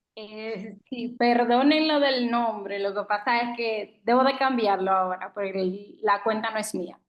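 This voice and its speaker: A woman with a Dominican accent speaks at a fairly slow pace with hardly any pauses, using a fairly high pitch and ordinary pitch variation. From Dominican Republic. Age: 20s. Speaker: student. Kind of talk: self-introduction.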